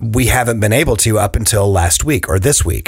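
Somewhat breathy, a man speaks at a moderate pace. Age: 40s. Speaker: podcast host, property management. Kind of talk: interview.

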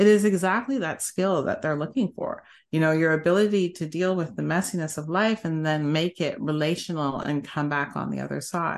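In a normal speaking voice, a woman talks fairly quickly at a fairly low pitch with ordinary pitch variation. The background is quiet. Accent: Canadian. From Canada. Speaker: senior tech executive. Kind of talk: interview conversation.

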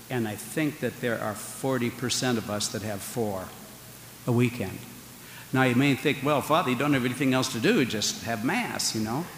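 Noticeable background noise accompanies a man whose voice rests at a medium pitch. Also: ordinary pitch variation, moderate pace. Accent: American. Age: 60s. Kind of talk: homily. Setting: church with congregation. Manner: conversational, humorous.

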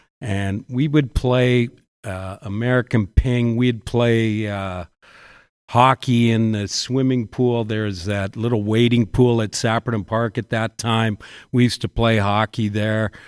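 A man with a Canadian accent speaks in a plain, everyday voice at a medium pitch and a fairly slow pace, with fairly even intonation. The sound is dry and close with no echo, on a very clean recording with a silent background. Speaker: basketball coach and teacher. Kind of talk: casual chat.

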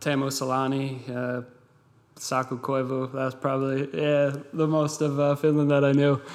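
A man with an American accent speaks at a moderate pace in a monotone, flat delivery and a fairly high pitch, over noticeable background noise. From Massachusetts, US. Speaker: professional football goalkeeper. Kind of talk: interview. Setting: studio.

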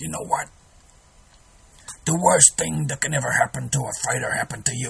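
A man puts on a raspy character voice at a medium pitch, with a weary tone. He speaks at a fairly quick pace. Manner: gruff, weary.

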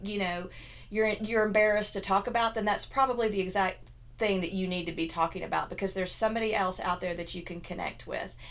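A woman with an ordinary speaking voice talks at a fairly quick pace. Her pitch is medium and her intonation fairly even. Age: 50s. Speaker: blogger and health coach. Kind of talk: casual chat.

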